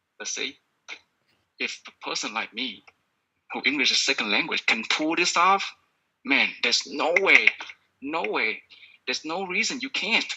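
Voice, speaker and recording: A man with a Vietnamese accent talks at a moderate pace in a fairly high pitch. His pitch swings very widely, and he takes long, frequent pauses. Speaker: podcast coach. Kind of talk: sales pitch. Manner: animated.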